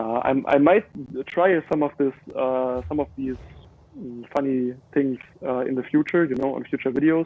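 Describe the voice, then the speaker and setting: A man with a fairly high pitch for a man speaks at a fairly slow pace. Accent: German. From Germany. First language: German. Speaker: gamer streamer. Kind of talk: live gameplay commentary. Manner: hesitant, many fillers.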